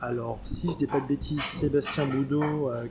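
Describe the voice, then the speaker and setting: Music plays in the background as a man speaks. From France (Paris). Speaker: role-playing game association volunteer. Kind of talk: casual interview.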